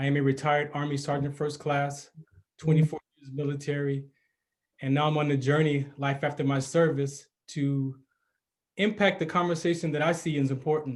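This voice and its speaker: A man's somewhat breathy, fairly high voice, monotone and flat, broken by long, frequent pauses. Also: moderate pace. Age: 50s. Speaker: podcast host, retired army sergeant. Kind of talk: personal storytelling monologue.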